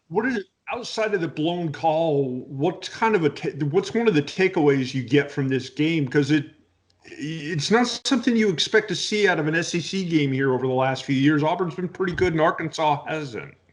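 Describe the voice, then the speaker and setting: A man with an American accent and a normal speaking voice, fairly high in pitch, with lively intonation. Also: moderate pace. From US South. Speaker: sports podcast host. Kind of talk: casual chat.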